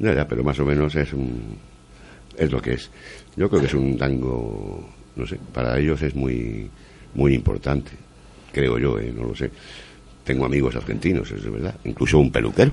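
A man's very deep, low voice at a moderate pace, with ordinary pitch variation, long, frequent pauses and noticeable background noise. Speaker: community radio host. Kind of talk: casual radio chat.

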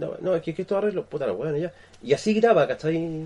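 A man's dark, mellow tone, fairly high in pitch, with ordinary pitch variation. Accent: Chilean. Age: 40s. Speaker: podcast co-host. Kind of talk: casual chat.

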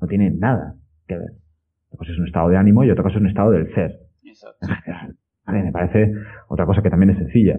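A man with a very deep, low voice talks very fast with ordinary pitch variation. His loudness swings widely, and he leaves long, frequent pauses. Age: 30s. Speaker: personal trainer and podcaster. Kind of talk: interview conversation.

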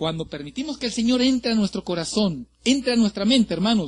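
Against a quiet background, a man talks in an extremely high pitch with very wide pitch swings and an animated tone. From Mexico, Ciudad Madero, Tamaulipas. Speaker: pastor. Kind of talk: sermon. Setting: church.

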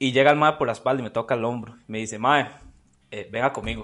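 In a Costa Rican accent, a man talks at a fairly quick pace in an animated tone. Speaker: podcast co-host. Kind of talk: storytelling.

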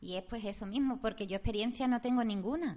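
Fairly high in pitch, a woman with an ordinary speaking voice talks at a fairly quick pace with ordinary pitch variation. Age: 40s. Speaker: radio co-host, shop worker. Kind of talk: casual chat.

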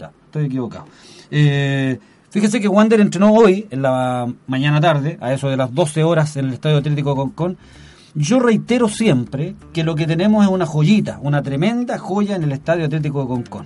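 Somewhat breathy and dark, mellow in tone, a man's voice sits at a fairly high pitch, moving at a moderate pace with lively intonation. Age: 50s. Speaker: community radio sports host. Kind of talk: radio sports show. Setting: radio studio.

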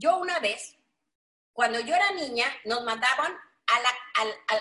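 Over music in the background, a woman speaks fairly slowly in a high pitch that swings very widely. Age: 60s. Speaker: network marketing leader. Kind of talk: motivational webinar talk. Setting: online webinar. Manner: animated.

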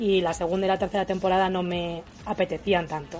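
A woman talks at a fairly quick pace in a plain, everyday voice of medium pitch. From Spain, Toledo province. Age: 20s. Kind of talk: casual chat.

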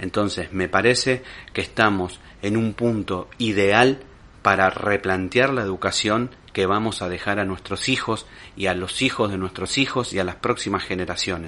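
Delivered at a moderate pace, a normal speaking voice carries fairly even intonation. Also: man, fairly low pitch for a man. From Argentina, Lomas de Zamora (Buenos Aires province). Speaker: podcast host. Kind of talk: monologue commentary.

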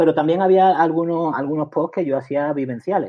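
Using a plain, everyday voice, a man talks at a moderate pace in a fairly high pitch with ordinary pitch variation. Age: 50s. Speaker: author and retired teacher with cancer. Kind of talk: interview.

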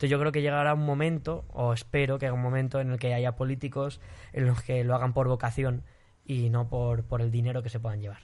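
At a fairly quick pace, a man speaks in an unremarkable speaking voice of medium pitch with fairly even intonation. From Spain. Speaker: singer. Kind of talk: casual chat.

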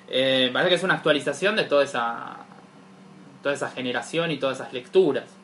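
With a Rioplatense accent, a man talks at a very fast pace in a fairly high pitch with ordinary pitch variation. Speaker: podcast co-host. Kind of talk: casual chat.

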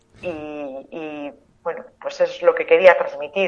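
A woman is speaking. Her pace is moderate. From Tudela, Navarre, Spain. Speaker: author. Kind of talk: interview.

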